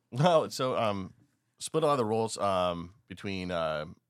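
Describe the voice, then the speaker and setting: A man's very deep, low voice with an American accent, lively intonation and a moderate pace. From Eastern Washington. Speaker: chef and restaurant owner. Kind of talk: casual chat.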